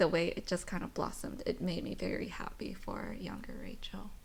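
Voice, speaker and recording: A soft-spoken woman at a fairly slow pace. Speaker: aspiring screenwriter. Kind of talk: podcast guest conversation.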